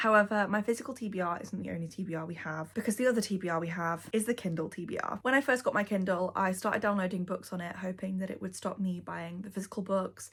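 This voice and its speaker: A woman with a Yorkshire accent talks at a very fast pace with hardly any pauses, her medium-pitched, somewhat breathy voice showing ordinary pitch variation. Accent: Northern English (Yorkshire). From North Yorkshire, England. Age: 20s. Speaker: book YouTuber. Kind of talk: casual talk to camera.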